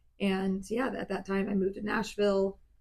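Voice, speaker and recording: A woman with an American accent speaks at medium pitch, her voice somewhat breathy. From US South, South Georgia. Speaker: country singer. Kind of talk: casual chat.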